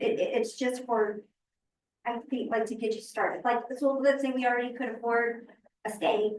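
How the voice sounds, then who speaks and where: In a monotone, flat intonation, a woman speaks at a high pitch. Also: moderate pace. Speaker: school board member. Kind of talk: board meeting discussion.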